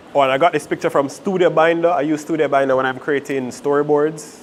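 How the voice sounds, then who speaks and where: A man with a fairly high pitch and fairly even intonation talks very fast amid noticeable background noise. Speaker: videography workshop instructor. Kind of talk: workshop lecture. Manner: too quiet for the room; casual, with fillers and self-corrections.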